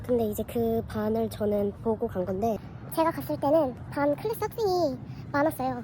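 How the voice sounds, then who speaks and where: A woman talks at a moderate pace. Background noise is noticeable throughout. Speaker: vlogger. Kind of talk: casual vlog talk.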